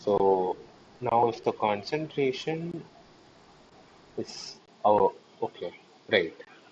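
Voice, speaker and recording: Soft-spoken and very slow, a man talks with long, frequent pauses. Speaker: teaching assistant. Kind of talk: online tutorial session. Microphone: too quiet.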